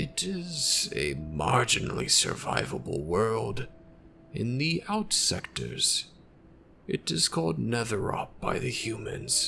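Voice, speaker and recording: Clearly audible background noise beneath an exaggerated character voice. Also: man, medium pitch for a man, fairly slow pace. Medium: machinima. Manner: formal, measured, evasive.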